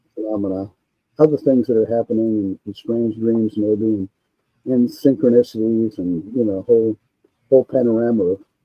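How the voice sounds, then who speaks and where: Over background music, a man with an American accent talks at a medium pitch. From Maine, US. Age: 70s. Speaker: UFO researcher and author. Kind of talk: interview. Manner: halting, many fillers.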